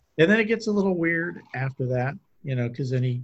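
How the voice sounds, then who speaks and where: A man with an American accent speaks with lively intonation in a somewhat breathy voice. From US Midwest. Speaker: podcast co-host. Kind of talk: casual chat.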